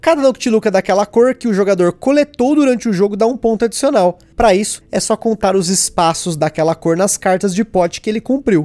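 A high-pitched man with a dark, mellow tone speaks at a fairly quick pace with hardly any pauses and ordinary pitch variation. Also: very even loudness, dry, close sound with no echo. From Brazil. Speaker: board game podcast host. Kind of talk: casual podcast chat and game review.

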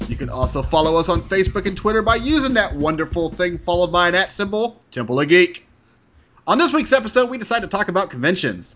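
With an American accent, a man speaks at a very fast pace and a high pitch. His intonation is lively. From Texas. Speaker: podcast host. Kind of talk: casual chat.

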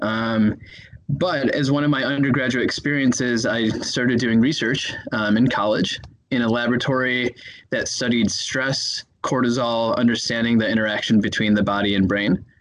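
A man of medium pitch speaks with an American accent at a moderate pace. His loudness stays very even and his intonation fairly even. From US Midwest, Chicago. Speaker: neuroscientist and medical student. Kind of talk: interview. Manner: hesitant, many fillers.

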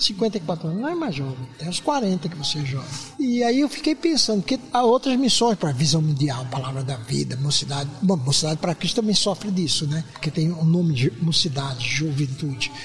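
The voice moves at a fairly quick pace with very wide pitch swings, and background noise is noticeable. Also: man, fairly high pitch for a man. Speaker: missionary and mission founder. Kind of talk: casual interview chat. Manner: animated, laughing.

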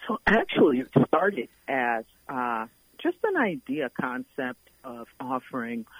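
A woman speaks with an American accent. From Brooklyn, New York. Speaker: nonprofit executive. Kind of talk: radio interview.

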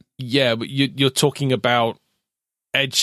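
A man with a British accent has a bright, sharp tone, captured dry and close with no echo in a very clean recording against a silent background. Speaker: podcast co-host.

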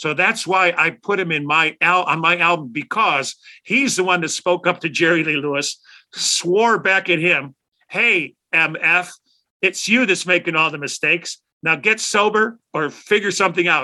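A man speaks at a moderate pace with a Chicago accent, his high pitch carrying a bright, sharp tone. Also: ordinary pitch variation. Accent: Chicago American. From Chicago South Side. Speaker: rock guitarist. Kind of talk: interview storytelling.

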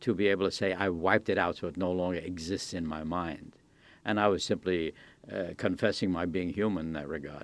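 A man with an American accent speaks at a fairly quick pace in a very deep, low voice, his intonation fairly even, over a quiet background. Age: 80s. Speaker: former war crimes prosecutor and peace advocate. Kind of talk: interview. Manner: halting, with frequent fillers.

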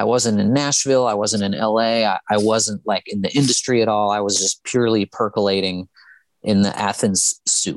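A man talks at a moderate pace in a fairly low pitch. His intonation is fairly even, and the sound is dry and close with no echo. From US South (Tuscaloosa, Alabama). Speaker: musician. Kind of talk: interview. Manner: halting, with fillers and repetitions.

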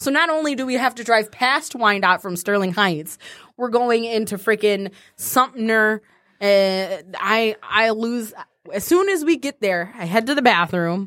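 An ordinary speaking voice with an American accent, lively intonation and a fairly slow pace, on a very clean recording with a silent background. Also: woman, fairly high pitch for a woman. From Detroit. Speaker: podcast co-host. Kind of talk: casual chat.

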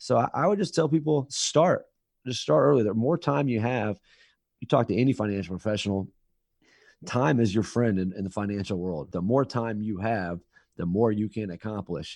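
A man's normal speaking voice with an American accent, fairly low in pitch with lively intonation at a moderate pace, in a quiet background with dry, close sound and no echo. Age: 30s. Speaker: financial advisor. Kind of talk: interview.

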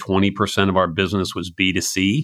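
A man speaks at a moderate pace, his pitch fairly low. His tone is bright and sharp, and the sound is dry and close with no echo. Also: very clean recording, silent background. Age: 60s. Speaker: venture capital investor. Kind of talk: interview.

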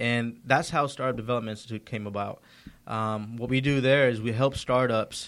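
An ordinary speaking voice: a man with an American accent at a medium pitch and moderate pace, with fairly even intonation, in a very clean recording with a silent background. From Georgia, US. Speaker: entrepreneur. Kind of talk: casual interview. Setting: studio.

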